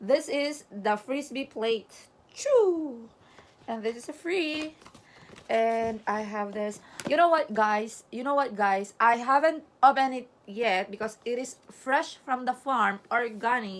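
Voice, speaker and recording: With a Filipino accent, a woman talks at a fairly slow pace in a high pitch with ordinary pitch variation. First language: Tagalog. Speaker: vlogger. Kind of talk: casual vlog unboxing. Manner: animated.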